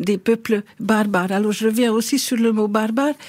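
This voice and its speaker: Noticeable background noise accompanies a woman who speaks fairly slowly in a Hungarian accent, at a fairly high pitch with fairly even intonation. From Hungary. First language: Hungarian (speaking French). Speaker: historian. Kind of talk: radio interview. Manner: hesitant, many fillers.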